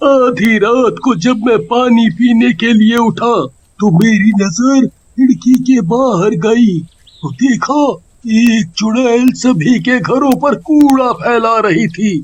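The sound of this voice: A man puts on a cartoonish character voice with an extremely high pitch. He speaks at a very slow pace.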